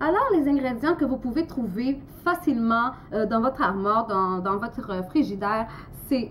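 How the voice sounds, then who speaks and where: Noticeable background noise fills the recording. Through it, a woman talks at a very slow speed. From Portugal. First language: Portuguese (speaking French). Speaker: amateur cooking vlogger. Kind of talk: cooking tutorial. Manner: halting, many hesitations.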